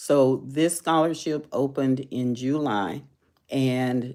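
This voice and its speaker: A woman with a Texan accent speaks in a very deep, low, dark and mellow voice over a very clean recording with a silent background. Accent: Texan American English. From Texas. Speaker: educator giving scholarship advice. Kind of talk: live stream tutorial. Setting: live stream. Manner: slow.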